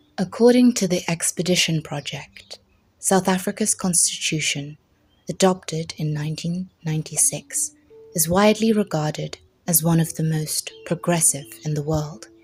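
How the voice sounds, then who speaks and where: Music plays in the background. The speaker moves along at a moderate pace. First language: not English. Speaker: English teacher. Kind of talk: educational narration.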